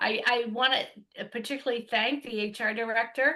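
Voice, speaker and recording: Loud and bright with a sharp tone, a woman speaks at a fairly high pitch with ordinary pitch variation against a quiet background. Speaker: hiring process consultant. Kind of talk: remote meeting update.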